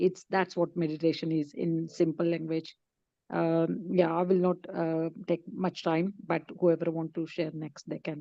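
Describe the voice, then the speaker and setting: Speaking at a fairly slow pace with a Marathi accent, a woman uses a fairly low pitch and a monotone, flat intonation. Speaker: book club member. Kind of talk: group discussion.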